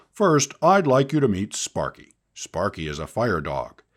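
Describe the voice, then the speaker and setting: In a put-on character voice, a man speaks at a moderate pace and medium pitch with very wide pitch swings, on a very clean recording with a silent background. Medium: read story. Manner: friendly, patient.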